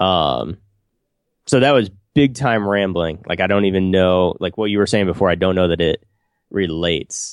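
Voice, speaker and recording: Speaking with an American accent, a man uses a very deep, low pitch, ordinary pitch variation and a moderate pace. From rural US Midwest, small town. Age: 40s. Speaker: podcast co-host. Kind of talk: casual chat.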